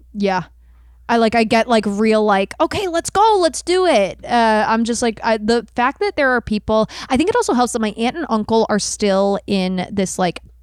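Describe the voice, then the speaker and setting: A woman's fairly high voice, animated in tone, with lively intonation. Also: moderate pace, dry, close sound with no echo. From moved around US, later Toronto area. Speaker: comedian and improviser, podcast guest. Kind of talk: improvised comedy and casual chat.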